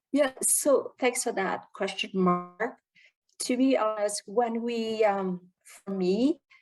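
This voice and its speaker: Very slow speech from a woman with a non-native accent, a fairly high pitch and ordinary pitch variation, with music in the background. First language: not English. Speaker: club member presenting Q&A. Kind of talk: Q&A session at a speaking club meeting. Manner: halting, many fillers.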